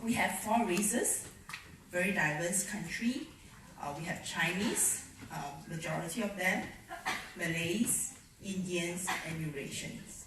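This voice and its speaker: A woman's fairly low voice at a fairly slow pace, with ordinary pitch variation, long and frequent pauses, audible room echo and noticeable background noise. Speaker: education speaker. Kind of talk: conference presentation.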